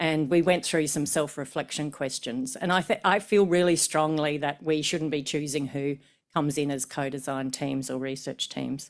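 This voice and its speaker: Someone speaks at a moderate pace with an Australian accent. The recording is very clean, with a silent background. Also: woman. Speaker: professor of medicine. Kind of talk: conference talk. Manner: hesitant, with fillers and repetitions.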